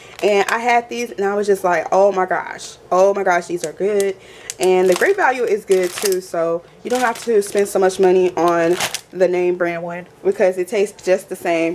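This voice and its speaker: Speaking in an American accent, a woman has a medium pitch and fairly even intonation at a moderate pace. Noticeable background noise is present. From Texas. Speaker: lifestyle vlogger. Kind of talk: haul video, casual chat to camera. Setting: at home.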